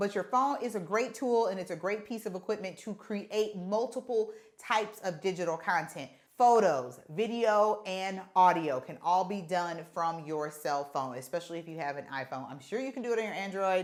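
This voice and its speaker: A woman's medium-pitched voice with lively intonation, big swings in loudness, a moderate pace and hardly any pauses. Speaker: content creator and podcaster. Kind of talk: tutorial. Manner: casual, conversational.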